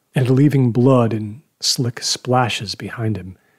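With a quiet background behind it, the text is read aloud in a natural voice whose intonation stays fairly even.

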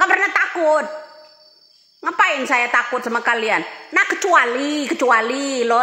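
Raising and projecting her high-pitched voice, a woman speaks at a fairly slow pace with lively intonation amid audible room echo. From Sumatra, Indonesia. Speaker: political commentator. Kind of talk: heated political rant. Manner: combative, blunt. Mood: defiant, scornful. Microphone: phone near.

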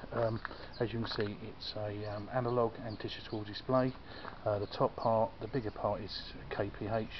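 A man speaks in a flat monotone, with noticeable background noise behind him. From UK. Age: 50s. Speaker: motorbike vlogger. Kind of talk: product review; casual review walkthrough. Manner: halting. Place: street. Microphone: phone near.

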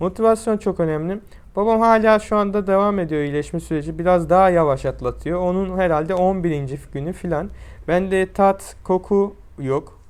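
This man's voice is high in pitch. He speaks at a moderate pace. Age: 20s. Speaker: YouTuber. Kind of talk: vlog monologue. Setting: at home in quarantine.

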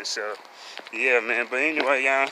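Fairly even intonation at a moderate pace, with light background noise. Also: man, dry sound with no echo. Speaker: vlogger. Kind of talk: casual vlog chat. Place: street. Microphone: phone near.

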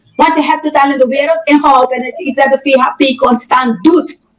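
A quiet background behind a female speaker. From Suriname. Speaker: policy advisor; talk show guest or host. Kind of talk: heated debate. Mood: indignant, argumentative. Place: studio.

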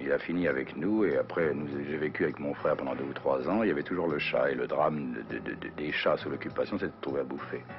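The pace of this man's talk is fairly quick. Behind him, music plays clearly. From France. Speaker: actor. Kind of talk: interview answer. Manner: casual, hesitant. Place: home room.

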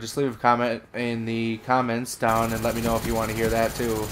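Amid noticeable background noise, a man of medium pitch talks with an American accent. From Wisconsin, US Upper Midwest. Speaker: gaming YouTuber. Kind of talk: casual storytelling monologue. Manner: halting, many fillers.

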